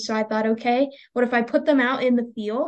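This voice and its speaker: Here is an ordinary speaking voice from a woman with an American accent. She speaks at a moderate pace with a fairly high pitch. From Pennsylvania, US. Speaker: entomology PhD student. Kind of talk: casual interview.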